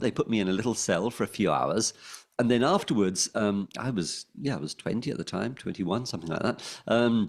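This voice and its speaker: In a London accent, a man talks at a fairly quick pace with vocal fry, in a very clean recording with a silent background. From London, England. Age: 60s. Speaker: former pirate radio DJ. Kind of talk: interview. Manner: hesitant, many ums and restarts.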